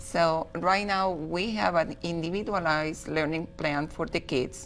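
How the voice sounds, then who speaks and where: With music playing in the background, a woman speaks in a Spanish accent. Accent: Spanish accent, noticeable. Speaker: school director. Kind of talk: TV interview.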